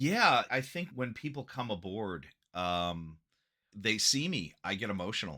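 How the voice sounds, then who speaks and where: Loud and bright with a sharp tone, a man's voice makes very wide pitch swings on a very clean recording with a silent background. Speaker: acupuncturist. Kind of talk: podcast interview. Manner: animated.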